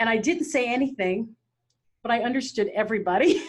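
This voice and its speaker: Spoken at a moderate pace with lively intonation and an American accent. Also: woman. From Philippines, grew up in US. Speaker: podcast host. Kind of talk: interview conversation.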